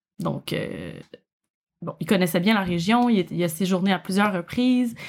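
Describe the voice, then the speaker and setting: The speaker has a Quebec accent and ordinary pitch variation. The recording is very clean, with a silent background. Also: woman. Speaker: podcast co-host and true crime fan. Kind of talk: casual storytelling chat on a livestream. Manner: tries to speak slowly.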